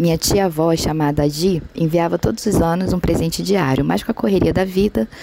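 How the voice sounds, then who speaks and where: A woman speaks at a moderate pace with a fairly low pitch and ordinary pitch variation. Noticeable background noise runs behind her. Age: 40s. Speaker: reality show participant, listener. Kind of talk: recorded testimony.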